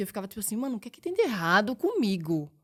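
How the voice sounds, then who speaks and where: This is a woman speaking with a Pernambuco accent. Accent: Pernambuco accent, drawling. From Pernambuco, Brazil (Recife). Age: 20s. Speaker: model. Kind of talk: casual chat. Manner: spontaneous, casual.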